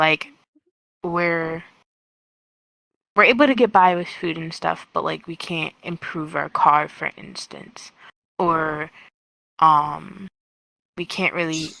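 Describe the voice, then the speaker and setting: A woman speaks at a very slow pace with a very deep, low pitch, vocal fry and long, frequent pauses. Her bright, sharp tone has fairly even intonation and big swings in loudness, in a dry, close sound with no echo. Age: 20s. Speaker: VRChat interviewee. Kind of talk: casual interview answer.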